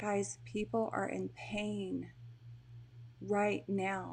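This speaker talks at a very slow pace with a Texan accent. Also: woman, quiet background. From Texas. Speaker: mental health coach. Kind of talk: live stream monologue. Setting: live video stream at home. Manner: animated.

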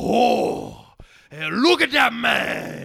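This man uses a put-on character voice. It is raspy and high-pitched. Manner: casual, joking.

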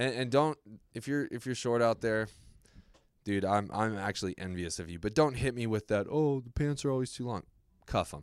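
Speaking with an American accent, a man uses an unremarkable speaking voice at a moderate pace, with a medium pitch and ordinary pitch variation. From Las Vegas and Southern California. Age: 20s. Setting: office.

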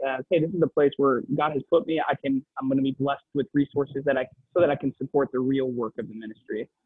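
Intonation stays fairly even as a man speaks at a very fast pace. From Wisconsin, US Midwest. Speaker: faith-based business entrepreneur. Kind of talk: interview. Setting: coffee shop.

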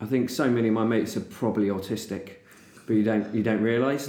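A man with a southern English accent talks at a very fast pace. His dark, mellow tone carries audible room echo. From England, Chatham, Kent. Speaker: artist and illustrator. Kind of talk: casual chat. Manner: animated.

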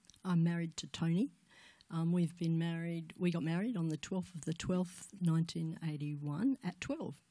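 A woman with an Australian accent speaks at a moderate pace and fairly low pitch, with ordinary pitch variation. Her tone is dark, mellow and somewhat breathy. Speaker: guest speaker at church women's event. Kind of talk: testimony.

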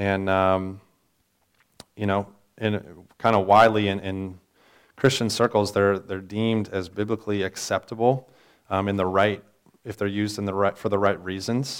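In a very clean recording with a silent background, a man with a fairly low voice speaks at a moderate pace in a flat monotone, leaving long, frequent pauses. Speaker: pastor teaching Sunday school class. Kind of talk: lecture. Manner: halting, many filler words.

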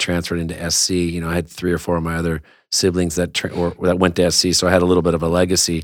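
A man with a Southern Californian accent and a very deep, low pitch talks at a very fast pace in a monotone, flat intonation, on a very clean recording with a silent background. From Southern California, West Covina. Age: 50s. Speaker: action sports entrepreneur. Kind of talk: casual interview. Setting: studio. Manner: halting, many fillers and repeats.

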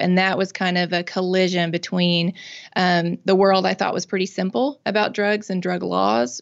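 The speaker talks at a moderate pace in a Mississippi accent. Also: woman. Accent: Southern US (Mississippi). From US South, Mississippi. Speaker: nonprofit founder and drug policy reform advocate. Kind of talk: interview conversation.

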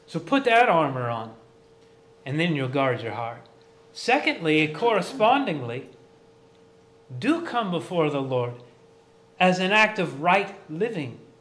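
Someone speaks at a fairly slow pace with very wide pitch swings and long, frequent pauses, with audible room echo. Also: man, high pitch for a man. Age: 40s. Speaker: pastor. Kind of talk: sermon.

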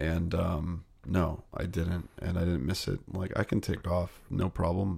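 A man with a very deep, low pitch and a somewhat breathy voice talks with hardly any pauses. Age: 30s. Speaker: filmmaker. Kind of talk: casual chat.

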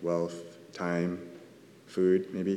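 A man speaks with a Californian accent at a very deep, low pitch, his tone dark and mellow. Audible room echo surrounds the recording. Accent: Californian American. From Southern California. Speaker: church elder giving a sermon. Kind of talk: sermon. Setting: church.

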